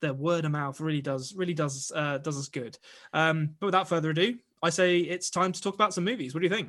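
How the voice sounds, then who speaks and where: Against a quiet background, a man with an English accent speaks at a very fast pace and fairly high pitch, with ordinary pitch variation. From England. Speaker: podcast host. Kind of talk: casual chat. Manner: joking.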